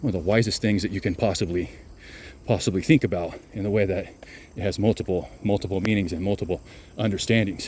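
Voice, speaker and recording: A man's fairly low-pitched voice at a very fast pace, with ordinary pitch variation. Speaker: self-help video creator. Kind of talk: casual monologue. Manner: repetitive, stumbling.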